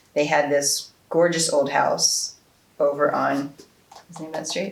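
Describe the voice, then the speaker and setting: With an American accent, a woman talks at a moderate pace. Noticeable background noise can be heard. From New Jersey, Haddonfield. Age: 60s. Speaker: oral history interviewee. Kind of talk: oral history interview. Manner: halting, many fillers.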